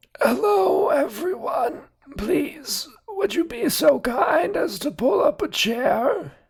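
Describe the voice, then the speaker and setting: The voice is a put-on character voice with a high pitch. It moves at a very slow pace. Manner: polite, formal, courteous.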